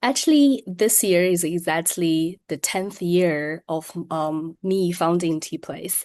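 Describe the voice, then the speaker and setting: A woman with a Chinese accent speaks at a very slow pace with hardly any pauses. Her pitch is fairly low with ordinary variation, over a quiet background. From China, Shenzhen. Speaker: tea business owner. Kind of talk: interview. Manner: frequent hesitations (um, uh).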